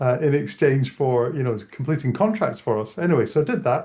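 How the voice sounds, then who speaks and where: A fairly high-pitched man with a Scottish accent, somewhat breathy, lively intonation, a fairly quick pace and a quiet background. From Scotland. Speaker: tech event co-founder. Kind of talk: interview. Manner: casual, many fillers.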